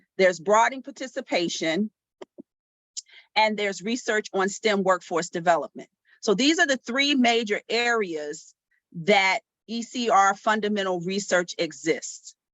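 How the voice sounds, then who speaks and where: A woman talks at a moderate pace and a medium pitch. She has an unremarkable speaking voice. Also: lively intonation. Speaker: math education professor leading workshop. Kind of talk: online workshop presentation. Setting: video call.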